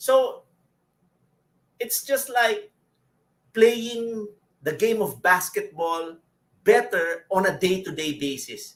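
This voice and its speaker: A man with a high-pitched voice speaks at a fairly slow pace, using lively intonation and leaving long, frequent pauses. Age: 50s. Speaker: network marketing leader. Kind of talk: online Q&A session.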